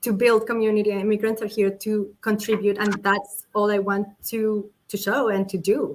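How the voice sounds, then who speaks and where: At a moderate pace with hardly any pauses, this speaker talks in a monotone, flat intonation with a Colombian accent. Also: woman, fairly high pitch for a woman. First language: Spanish. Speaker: political candidate. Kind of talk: interview. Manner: halting, with many repetitions.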